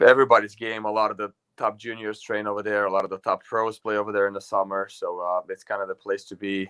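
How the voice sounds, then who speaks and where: A man with a fairly low pitch and a bright, sharp tone, monotone and flat, talking at a very fast pace, with a dry, close sound and no echo. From Romania. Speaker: pickleball pro. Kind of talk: interview. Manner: hesitant, many fillers.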